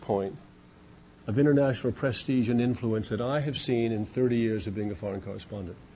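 A man with an American accent talks at a fairly quick pace, his pitch medium and his intonation lively. His voice is somewhat breathy. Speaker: foreign correspondent. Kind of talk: lecture. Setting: stage with audience.

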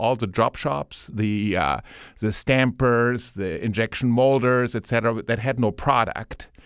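A man with a German accent speaks at a fairly slow pace and medium pitch with ordinary pitch variation. The recording is very clean with a silent background, and the sound is dry and close with no echo. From Germany. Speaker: board chairman and business owner. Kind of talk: interview. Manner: hesitant with many fillers.

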